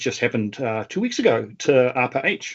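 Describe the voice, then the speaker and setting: A man talks with a New Zealand accent. His pitch is medium and his pace moderate. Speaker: government data advisor. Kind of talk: panel webinar conversation.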